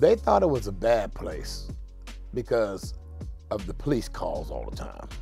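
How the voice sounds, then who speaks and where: Faint music plays in the background as a man speaks. The sound is dry, with no echo. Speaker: oral history interviewee. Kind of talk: interview answer. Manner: casual, reminiscing. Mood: reminiscing, warm. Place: home room.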